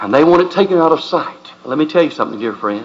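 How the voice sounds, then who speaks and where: A man with a Southern US accent, fairly high-pitched and swinging very widely in pitch, against noticeable background noise. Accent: Southern drawl. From US South. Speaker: pastor. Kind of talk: sermon. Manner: impassioned.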